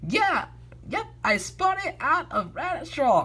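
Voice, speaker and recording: A man puts on a character voice with an extremely high pitch. He speaks at a fairly slow pace over light background noise. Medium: read story. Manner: shifty, wheedling.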